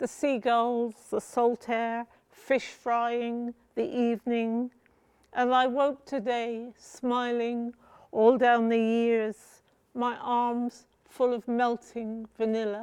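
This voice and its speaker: A woman speaks at a very slow pace with a high pitch. Her intonation stays monotone and flat. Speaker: poet. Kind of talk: poetry reading.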